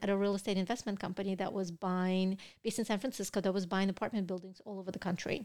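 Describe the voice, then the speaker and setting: Flat, monotone intonation in a Russian accent, on a very clean recording with a silent background. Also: woman. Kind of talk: casual interview chat.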